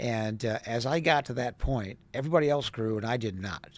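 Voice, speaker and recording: An unremarkable speaking voice from a man with an American accent, medium pitch and ordinary pitch variation, in a very clean recording with a silent background. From US Midwest, Wisconsin. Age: 60s. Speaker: travel industry professional and social media personality. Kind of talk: casual interview.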